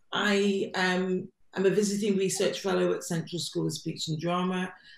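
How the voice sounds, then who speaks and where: Her pitch sits in the middle range. The woman's intonation stays flat and monotone. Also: moderate pace. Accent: English. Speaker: arts platform director and research fellow. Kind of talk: online panel introduction.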